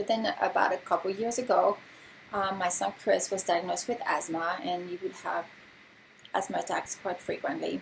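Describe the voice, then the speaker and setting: Spoken at a moderate pace, the voice carries a slight French accent. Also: woman. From France. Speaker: essential oils distributor and nurse. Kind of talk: informal presentation. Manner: casual with many filler words.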